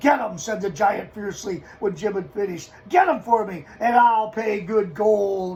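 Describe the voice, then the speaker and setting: A gruff, bellowing put-on character voice from a man, high-pitched for a man, at a moderate pace with hardly any pauses. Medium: read story. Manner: gruff, roaring.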